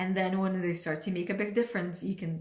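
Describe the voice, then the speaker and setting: A somewhat breathy woman's voice in audible room echo. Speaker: life coach. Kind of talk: motivational talk. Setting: livestream from home dining room.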